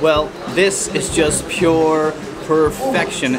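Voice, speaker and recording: A man talks while clear music sounds behind him. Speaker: travel food vlogger. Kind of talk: casual vlog chat. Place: cafe.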